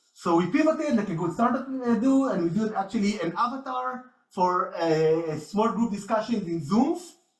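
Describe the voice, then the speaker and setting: Pitched high for a man, this speaker swings very widely in pitch and barely pauses, with audible echo from the room. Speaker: researcher. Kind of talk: conference talk. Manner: fast.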